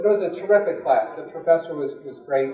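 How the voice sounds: A man's fast, fairly high voice with a dark, mellow tone, an American accent, and audible room echo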